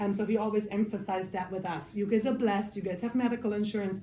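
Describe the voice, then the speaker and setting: A woman with a German accent, fairly high pitch, and monotone, flat intonation, set in audible room echo. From Germany. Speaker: case manager. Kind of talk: life skills class. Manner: casual, many filler ums.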